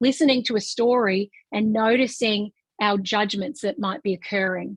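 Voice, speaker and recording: A woman in an Australian accent, animated in tone, at a moderate pace, with a dry, close sound and no echo. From rural Australia. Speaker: business founder and coach trainer. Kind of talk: webinar presentation.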